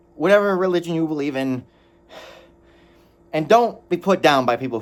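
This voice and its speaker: With very wide pitch swings, a man talks at a fairly high pitch. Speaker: anime reviewer. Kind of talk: video review monologue. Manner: loud; halting, self-correcting.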